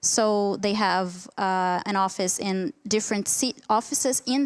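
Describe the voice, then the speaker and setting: With a Portuguese accent, a woman speaks at a fairly slow pace, medium pitch and ordinary pitch variation, in a very clean recording with a silent background and a dry, close sound with no echo. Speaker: academic researcher. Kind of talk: conference Q&A answer. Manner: halting, many fillers.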